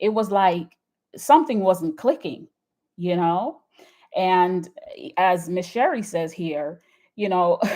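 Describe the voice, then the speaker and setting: Speaking very slowly with long, frequent pauses, a woman with a Jamaican accent has a dark, mellow tone. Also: medium pitch for a woman, lively intonation. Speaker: YouTube commentator. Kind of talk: live stream chat. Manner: enunciated; halting.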